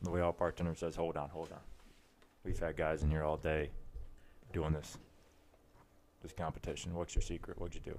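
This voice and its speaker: A man with an American accent and a very deep, low pitch talks at a fairly quick pace. He leaves long, frequent pauses. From western Michigan, US. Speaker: podcast co-host. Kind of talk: casual chat among friends, telling bar jokes. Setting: late-night recording session. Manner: animated.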